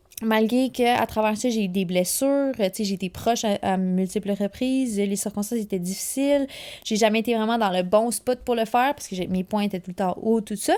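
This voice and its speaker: A woman with a dark, mellow tone speaks at a fairly high pitch. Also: ordinary pitch variation, fairly quick pace. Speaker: alpine ski racer and podcast host. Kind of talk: casual solo podcast monologue. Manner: fast; animated.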